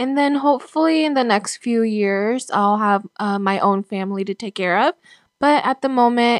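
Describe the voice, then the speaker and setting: Recorded very cleanly against a silent background, a woman with a fairly high pitch speaks at a fairly slow pace with ordinary pitch variation, the sound dry and close with no echo. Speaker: former foster youth sharing her story. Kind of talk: interview testimony. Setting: makeshift home studio. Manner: hesitant, many fillers.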